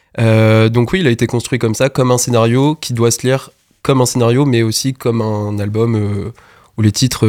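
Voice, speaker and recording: An ordinary speaking voice with fairly even intonation at a moderate pace, on a very clean recording with a silent background. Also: man. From Normandy, France. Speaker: music producer. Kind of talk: radio interview. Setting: radio studio.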